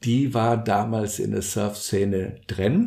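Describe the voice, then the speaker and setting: A somewhat breathy man's voice with a dark, mellow tone. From Brazil, São Paulo. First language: Portuguese (speaking German). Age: 60s. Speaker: social entrepreneur, surf organisation co-founder. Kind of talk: interview, personal storytelling. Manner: hesitant, many fillers.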